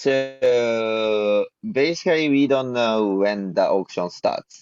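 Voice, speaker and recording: Over music in the background, a man with a Japanese accent talks very slowly at a medium pitch. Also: ordinary pitch variation. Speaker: blockchain project team member. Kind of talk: community video call Q&A. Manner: halting.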